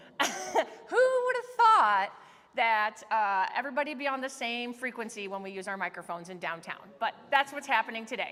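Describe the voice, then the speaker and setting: Noticeable background noise under a woman's fairly high voice. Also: ordinary pitch variation, moderate pace, big swings in loudness. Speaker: museum education director. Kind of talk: event introduction. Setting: museum talk with live audience. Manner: loud. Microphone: no microphone, technical sound issues.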